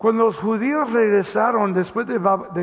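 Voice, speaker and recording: Noticeable noise runs in the background. Over it, a man is talking. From Los Angeles, US (born Mexico City, moved at 10). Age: 70s. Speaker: pastor. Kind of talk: sermon. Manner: halting.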